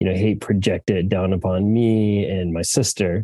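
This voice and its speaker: A man's fairly low, dark, mellow voice with an American accent, monotone and flat in intonation, at a moderate pace. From United States. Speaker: travel company founder and CEO. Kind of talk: interview conversation. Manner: halting, many fillers. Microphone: good sound throughout.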